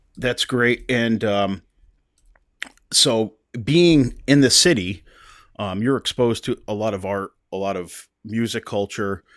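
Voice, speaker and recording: On a very clean recording with a silent background and a dry, close sound with no echo, a man talks fairly slowly at a medium pitch, with ordinary pitch variation and long, frequent pauses. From US Northeast. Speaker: podcast host. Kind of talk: casual interview chat. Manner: halting, many fillers.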